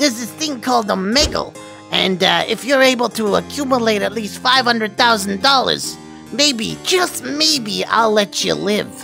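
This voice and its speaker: Over clear music in the background, a female-sounding voice does a put-on character voice at a moderate pace. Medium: role play.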